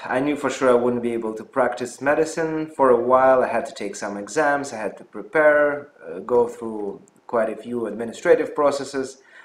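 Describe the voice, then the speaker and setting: Speaking at a moderate pace with a Russian accent, a man at medium pitch shows ordinary pitch variation and big swings in loudness. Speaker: physician and health channel host. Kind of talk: personal story vlog. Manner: hesitant with fillers.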